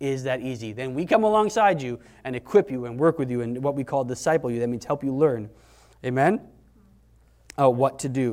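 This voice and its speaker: With big swings in loudness and long, frequent pauses, a man at medium pitch talks at a fairly quick pace with lively intonation. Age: 40s. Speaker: pastor. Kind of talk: sermon. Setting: church. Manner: conversational.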